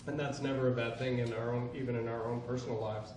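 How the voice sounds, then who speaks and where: Over noticeable background noise and audible room echo, a man talks at a fairly quick pace with a medium pitch. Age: 60s. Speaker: politician. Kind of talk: speech.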